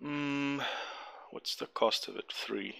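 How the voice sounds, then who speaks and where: The voice belongs to a man with a non-native accent. His tone is bright and sharp. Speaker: gamer. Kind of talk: gameplay commentary. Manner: casual, hesitant.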